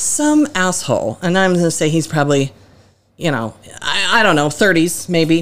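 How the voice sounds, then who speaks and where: An ordinary speaking voice from a woman, fairly low in pitch, with lively intonation, very even loudness and a moderate pace, on a very clean recording with a silent background. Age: 40s. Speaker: podcast guest, a co-host's mother. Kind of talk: casual chat.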